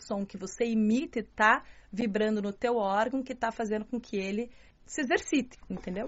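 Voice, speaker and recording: A woman talks with a fairly high pitch. Her pitch variation is ordinary. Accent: strong Curitiba. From southern Brazil, Curitiba. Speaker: journalist and martial arts student. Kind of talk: interview.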